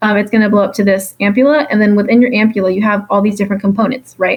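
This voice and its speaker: A woman's voice sits fairly high in pitch and comes across somewhat breathy. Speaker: exam review tutor. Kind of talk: exam review lecture. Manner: fast; casual with many fillers.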